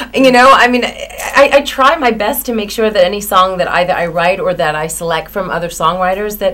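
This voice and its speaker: A woman's fairly quick, lively American-accented voice at medium pitch, with hardly any pauses and noticeable background noise. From South Florida. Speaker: country singer. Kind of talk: interview. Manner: casual, with fillers.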